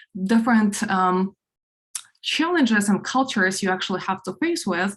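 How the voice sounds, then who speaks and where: A woman with a Ukrainian accent speaks somewhat breathily at a moderate pace, her medium pitch showing ordinary variation. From Ukraine. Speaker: product executive, conference speaker. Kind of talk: conference talk. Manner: many filler words, halting.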